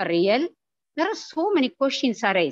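The dry sound with no echo holds a woman's voice moving in very wide pitch swings. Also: quiet background. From Tamil Nadu, India. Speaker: head of botany department. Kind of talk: formal welcome speech. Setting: video call. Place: home room. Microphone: video call.

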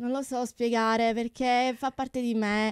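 The speech moves at a fairly slow pace, with a dry sound with no echo and a quiet background. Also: woman. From Sicily, Tortorici. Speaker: opera soprano and music teacher. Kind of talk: radio interview. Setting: radio studio. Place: studio. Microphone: studio mic.

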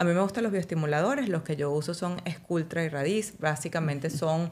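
The voice moves at a moderate pace with ordinary pitch variation. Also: woman. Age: 40s. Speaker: physician specializing in aesthetic medicine; guest. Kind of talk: casual interview. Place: studio. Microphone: studio mic.

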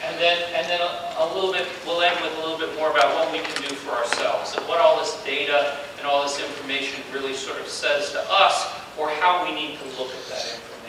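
Fairly quickly and with hardly any pauses, a man speaks with fairly even intonation. Room echo is audible, and background noise is noticeable. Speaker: lecturer. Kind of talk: lecture. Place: hall.

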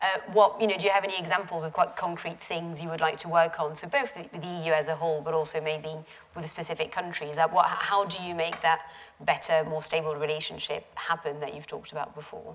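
Over light background noise, a woman has an unremarkable speaking voice with a fairly low pitch. Her loudness swings widely, while pitch variation stays ordinary. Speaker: journalist interviewer. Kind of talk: interview on stage. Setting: lecture theatre with audience. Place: hall. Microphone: lapel.

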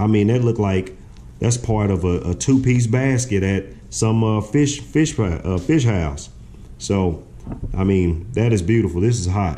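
A man's fairly low voice at a fairly slow pace, with light background noise. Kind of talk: tutorial. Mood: relaxed, proud. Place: kitchen. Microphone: camera far.

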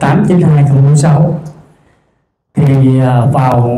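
Fairly even intonation marks this man's speech, with audible room echo. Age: 60s. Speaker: cancer patient. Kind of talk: testimony. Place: hall. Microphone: handheld.

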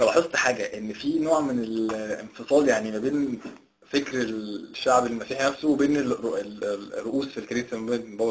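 A man speaks at a moderate pace in an unremarkable speaking voice. His pitch varies in an ordinary way while his loudness swings widely. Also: hardly any pauses. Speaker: interviewer. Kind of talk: interview. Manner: casual.

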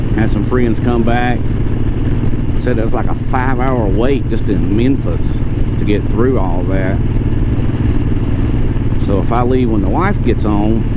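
A man's voice comes through with a dry sound and no echo. Loud background noise runs behind him. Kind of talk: casual vlog chat. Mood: relaxed, chatty. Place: motorbike. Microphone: helmet.

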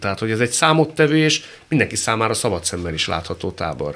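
The speaker's pitch swings very widely. The pace is very fast. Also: man. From Hungary. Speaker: radio talk show host. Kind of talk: interview conversation. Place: studio. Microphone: studio mic.

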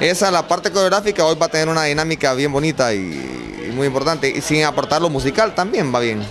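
A man talks at a moderate pace. Noticeable background noise can be heard throughout. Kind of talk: interview answer. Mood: proud, upbeat. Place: classroom. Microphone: handheld.

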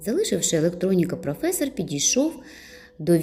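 The voice reads in a natural manner.

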